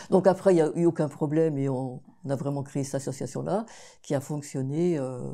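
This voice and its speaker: A woman speaks at a fairly quick pace in a very deep, low pitch with ordinary pitch variation. Her tone is dark and mellow, and the recording is very clean with a silent background. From Vendée, western France. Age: 70s. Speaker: feminist activist. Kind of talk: interview. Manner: hesitant, with frequent fillers.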